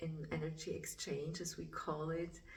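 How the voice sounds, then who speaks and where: Fairly slow speech with a non-native accent and audible room echo. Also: woman. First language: German. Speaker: spiritual artist. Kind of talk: casual vlog talk. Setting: art studio. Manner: halting.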